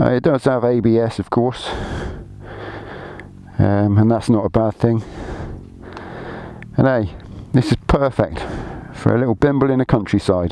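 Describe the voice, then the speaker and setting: Over noticeable background noise, a man with a British accent speaks with ordinary pitch variation and long, frequent pauses. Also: medium pitch for a man, moderate pace. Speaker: motorcycle rider. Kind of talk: casual talk to camera. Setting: outdoors.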